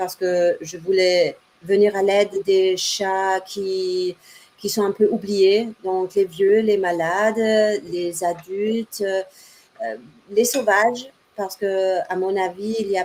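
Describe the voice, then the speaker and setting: At a very slow pace, a woman with a German accent speaks at medium pitch in a monotone, flat intonation. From Germany. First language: German (speaking French). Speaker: cat rescue association founder. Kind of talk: interview.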